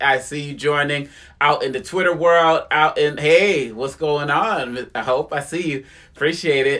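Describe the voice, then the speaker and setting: An ordinary speaking voice from a man, fairly high-pitched, with ordinary pitch variation and a fairly slow pace. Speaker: spoken word poet. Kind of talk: casual live stream greeting. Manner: upbeat.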